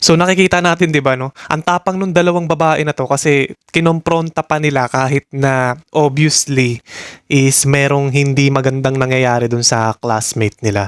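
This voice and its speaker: In a dry, close recording with no echo, a man with a normal speaking voice talks at a moderate pace, his fairly high pitch showing ordinary variation. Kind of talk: reaction video commentary.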